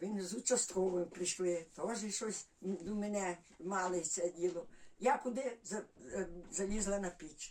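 With a Volhynian accent, the speaker goes at a fairly slow pace, pitch varying in an ordinary way. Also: woman, medium pitch for a woman. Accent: Volhynian Ukrainian village dialect. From Volyn, northwestern Ukraine (village near Kovel). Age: 80s+. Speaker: village resident. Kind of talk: dialect interview, life story. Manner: halting, many fillers.

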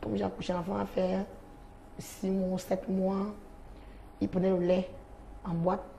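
Light background noise sits under a woman speaking at a moderate pace with flat, monotone intonation and long, frequent pauses. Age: 20s. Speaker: sex worker; talk show guest. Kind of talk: testimony. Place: studio. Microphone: lapel.

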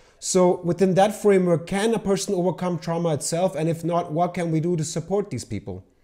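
This man's voice has a dark, mellow tone and a high pitch, with fairly even intonation. He talks at a fairly quick pace with hardly any pauses against a quiet background. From Pakistan. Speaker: interview host; interviewer. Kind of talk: interview; interview questions. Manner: hesitant, many fillers.

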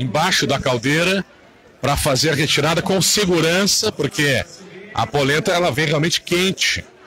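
Speech at a fairly slow pace with ordinary pitch variation comes over light background noise. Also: man, dry sound with no echo. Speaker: radio announcer. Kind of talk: live event commentary. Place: street. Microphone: phone near.

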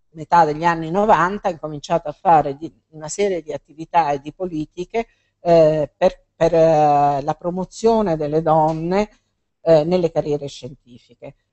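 Against a quiet background, a woman with a fairly low pitch speaks with fairly even intonation and big swings in loudness. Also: moderate pace. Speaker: biologist and speaker; speaker. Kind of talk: public talk; interview answers. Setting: bookstore event with audience. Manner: hesitant, many fillers. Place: shop.

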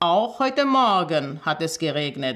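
Over a quiet background, a woman speaks very slowly with a fairly low pitch. Her pitch swings very widely. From Armenia. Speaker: storyteller, journalist and teacher reading a fairy tale. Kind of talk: reading aloud a fairy tale. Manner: expressive storytelling, measured pace. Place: home room.

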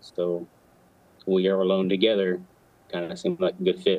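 A man talks at a moderate pace with a fairly low pitch. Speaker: military veteran and first responder; guest. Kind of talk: interview. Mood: earnest, reflective. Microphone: video call.

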